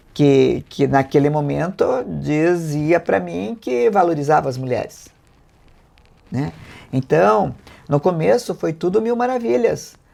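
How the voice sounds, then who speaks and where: At a very slow pace, a woman speaks at a very deep, low pitch with a dark, mellow tone, very wide pitch swings and long, frequent pauses. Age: 70s. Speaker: mayor and election candidate. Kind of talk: political interview.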